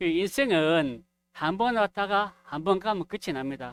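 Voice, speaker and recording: A man speaks loudly, his pitch swinging very widely. The recording is very clean with a silent background and a dry, close sound with no echo. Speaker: preacher. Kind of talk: sermon. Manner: gets louder as he goes.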